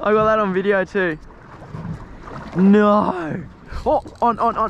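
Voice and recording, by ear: Slowly and with vocal fry, a man speaks at a high pitch over faint background noise.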